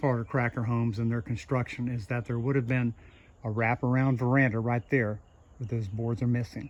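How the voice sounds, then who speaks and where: This man has a normal speaking voice. It sits at a medium pitch, and the intonation is fairly even. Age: 60s. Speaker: relic hunter and video host. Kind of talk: casual narration while exploring. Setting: outdoors and in an abandoned house.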